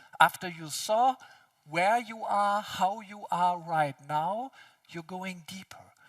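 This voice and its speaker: The sound is dry and close, with no echo. The speaker has a non-native accent. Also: man. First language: not English. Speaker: speaker on consciousness and physics. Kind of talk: conference talk.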